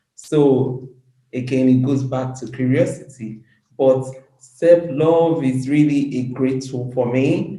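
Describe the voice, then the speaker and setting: Speaking very slowly, a woman with a very deep, low pitch keeps her intonation fairly even while the room echo stays audible. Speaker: women's empowerment advocate. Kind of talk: interview.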